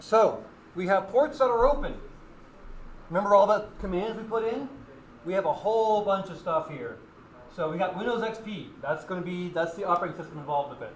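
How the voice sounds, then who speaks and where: A man's high voice with ordinary pitch variation, long, frequent pauses and big swings in loudness, in a room with audible echo. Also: fairly quick pace. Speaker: student club member demonstrating hacking. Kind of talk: live tutorial demo. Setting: classroom with audience, livestreamed. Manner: casual.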